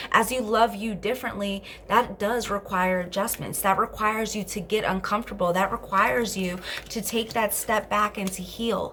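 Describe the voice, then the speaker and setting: This woman speaks at a medium pitch over noticeable background noise. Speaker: tarot card reader. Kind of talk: tarot reading. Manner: fast; animated.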